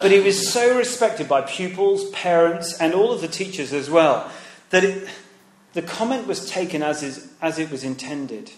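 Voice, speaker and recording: A man with an English accent talks in a high voice with lively intonation, over noticeable background noise and audible room echo. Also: moderate pace. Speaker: preacher. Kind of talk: sermon.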